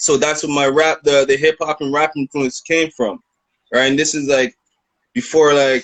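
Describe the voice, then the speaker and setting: A man talks in a plain, everyday voice at a moderate pace. His pitch is fairly high and his intonation fairly even. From Canada, Toronto. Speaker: rapper. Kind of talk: interview. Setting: video call.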